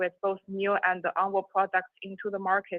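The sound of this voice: A woman speaks at a medium pitch and a fairly quick pace. The sound is dry and close, with no echo.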